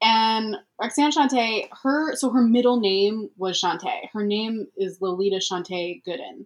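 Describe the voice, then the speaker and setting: Her fairly high voice carries lively intonation even at a very slow pace. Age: 20s. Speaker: comedian. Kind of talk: casual chat. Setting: remote call.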